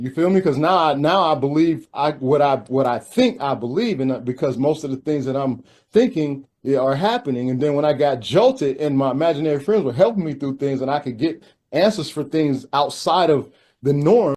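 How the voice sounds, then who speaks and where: Speaking fairly quickly, a man uses an unremarkable speaking voice, fairly high in pitch with ordinary variation. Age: 50s. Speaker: spiritual teacher and father. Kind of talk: casual chat.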